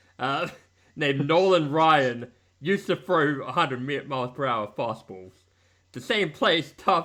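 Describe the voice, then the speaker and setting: A man with an Australian accent has a bright, sharp tone and a fairly high pitch. He speaks at a fairly slow pace with lively intonation. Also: very clean recording, silent background. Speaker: wrestling podcast co-host. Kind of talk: casual chat.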